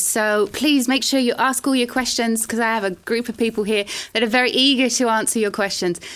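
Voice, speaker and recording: With a British accent and high pitch, a woman talks at a fairly quick pace with ordinary pitch variation over noticeable background noise. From Britain. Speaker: lecturer and open day host. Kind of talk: online open day presentation.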